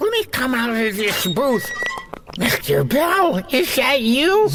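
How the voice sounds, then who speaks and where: A man uses a put-on character voice pitched extremely high for a man. Clear background noise runs behind him. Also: fairly slow pace. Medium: audio drama. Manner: earnest, excitable.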